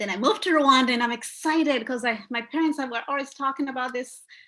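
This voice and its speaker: A woman speaks at a very fast pace. Her voice is high-pitched, with a bright, sharp tone. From Rwandan raised in Uganda. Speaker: therapist and activist. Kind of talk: interview talk. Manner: animated.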